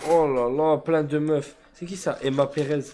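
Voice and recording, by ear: A man's dark, mellow voice, fairly high in pitch, at a moderate pace with fairly even intonation and audible room echo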